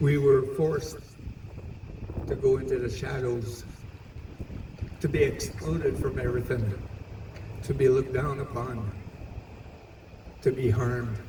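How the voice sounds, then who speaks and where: A man talks with ordinary pitch variation, leaving long, frequent pauses. Noticeable background noise runs behind him. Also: medium pitch for a man, fairly slow pace. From Manitoba, Canada. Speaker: Two Spirit Elder. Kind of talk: public speech at community event. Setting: outdoors, PA system.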